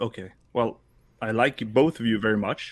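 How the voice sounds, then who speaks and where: Speech in a Swedish accent comes at a moderate pace. The recording is very clean, with a silent background. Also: man. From Sweden. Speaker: podcast co-host and toy customizer. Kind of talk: casual chat.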